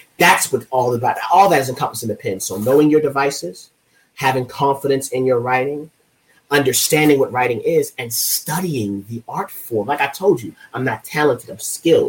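His loudness swinging a lot, a man talks at a fairly quick pace and a fairly high pitch with ordinary pitch variation. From Baltimore, Maryland. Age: 30s. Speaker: poet. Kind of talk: interview. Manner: passionate, intense.

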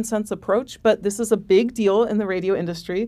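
With an American accent, a woman talks in an unremarkable speaking voice at a fairly high pitch with ordinary pitch variation. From Oregon, US. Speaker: music professor and author. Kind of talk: interview. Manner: frequent fillers (um, uh).

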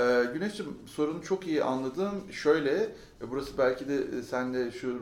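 A man's medium-pitched voice, an ordinary speaking voice, with ordinary pitch variation. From Ankara, Turkey. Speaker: business consultant. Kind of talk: interview.

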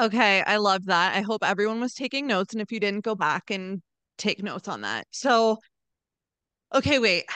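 In a dry, close recording with no echo, a woman with an American accent speaks at medium pitch and a moderate pace, her tone bright and sharp and her pitch varying in an ordinary way. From Philadelphia area, Pennsylvania. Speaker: podcast host, social media marketer. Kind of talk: casual interview. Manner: animated.

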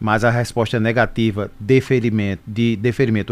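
Music plays behind a man speaking at a moderate pace. His medium pitch stays in a monotone, flat intonation. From Brazil, Pernambuco (Caruaru). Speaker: social security agency manager. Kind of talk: radio interview Q&A. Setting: radio studio.

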